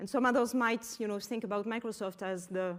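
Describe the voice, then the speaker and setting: Pitched fairly high, a woman speaks with a French accent. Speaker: business executive. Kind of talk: conference talk. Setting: auditorium with audience.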